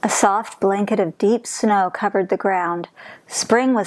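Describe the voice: Someone does plain reading aloud here.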